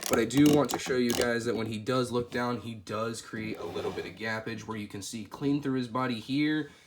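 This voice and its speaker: Noticeable background noise behind a man speaking with fairly even intonation. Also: medium pitch for a man. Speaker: toy figure reviewer. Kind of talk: product review. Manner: casual, conversational with fillers.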